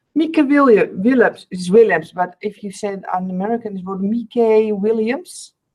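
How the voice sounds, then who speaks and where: A woman with a fairly high voice and a Dutch accent speaks at a moderate pace. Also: ordinary pitch variation, hardly any pauses. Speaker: artist, video co-host. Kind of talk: casual chat. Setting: video call.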